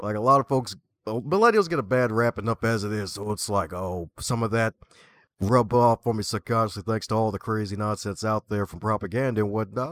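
Ordinary pitch variation marks an unremarkable speaking voice at a fairly quick pace. The very clean recording is dry and close with no echo and a silent background. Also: man. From Baltimore, Maryland. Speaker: author, librarian and podcaster. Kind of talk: casual interview chat. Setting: live video broadcast.

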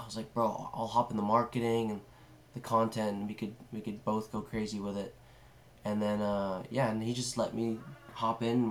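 A man with an American accent speaks at a fairly low pitch and a moderate pace. His intonation is monotone and flat. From California, San Francisco area. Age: 18. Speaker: videographer. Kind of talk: casual chat.

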